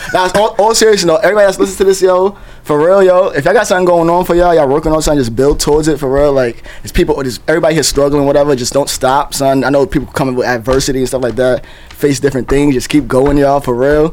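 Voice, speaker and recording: A man with an American accent talks at a very fast pace in a fairly high pitch, with noticeable background noise behind him. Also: ordinary pitch variation. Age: 20s. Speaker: podcast co-host. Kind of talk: casual chat.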